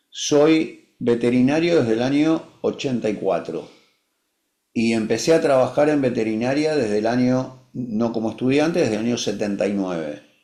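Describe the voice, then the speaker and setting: A man's medium-pitched voice with lively intonation, a dark, mellow tone and audible room echo. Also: moderate pace. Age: 60s. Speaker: veterinarian. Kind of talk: webinar discussion.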